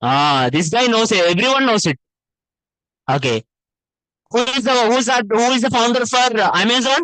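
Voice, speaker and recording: Using a raised, projected voice with an Indian accent, a man speaks at an extremely high pitch in a bright, sharp, animated tone with lively intonation and very even loudness, at a moderate pace with long, frequent pauses, in a dry, close sound with no echo. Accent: Indian accent, self-described. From Telangana, India. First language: Telugu. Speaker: web development teacher. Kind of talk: lecture. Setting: classroom with online participants.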